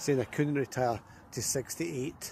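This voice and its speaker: A man's somewhat breathy voice with a dark, mellow tone, at a fairly quick pace. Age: 60s. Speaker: vlogger. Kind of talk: casual walking vlog monologue. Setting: outdoors, walking by the river.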